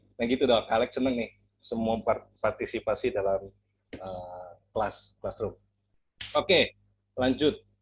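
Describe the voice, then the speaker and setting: Music runs in the background. Over it, a man talks at a moderate pace. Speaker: Sunday school teacher. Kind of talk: interactive children's sermon lesson. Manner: animated.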